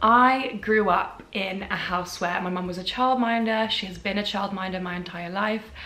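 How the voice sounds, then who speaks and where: A woman talks with fairly even intonation and hardly any pauses, with noticeable background noise and audible room echo. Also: medium pitch for a woman, moderate pace. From England. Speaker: content creator. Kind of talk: casual advice vlog.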